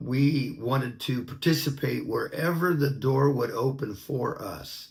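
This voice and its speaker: A man speaks with a Pacific Northwest accent and vocal fry. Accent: American (Pacific Northwest). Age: 60s. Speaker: minister. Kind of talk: personal testimony.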